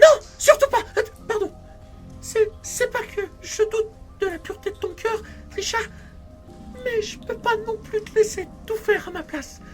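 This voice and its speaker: A put-on character voice at an extremely high pitch sounds nervous and anxious, moving at a moderate pace with long, frequent pauses. Clear music plays in the background. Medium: audio drama. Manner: nervous, anxious.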